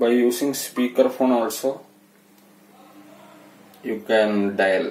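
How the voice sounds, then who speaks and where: In a non-native accent, the speaker talks at a very slow pace with fairly even intonation, and audible room echo surrounds the voice. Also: man. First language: not English. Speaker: telecom seller and consultant. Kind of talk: product tutorial narration. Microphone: phone near.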